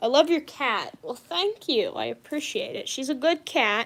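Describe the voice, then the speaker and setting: At a moderate pace, a woman speaks in an animated tone. Her pitch swings very widely. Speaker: streamer. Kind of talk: casual livestream chat while crafting. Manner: chatty, animated.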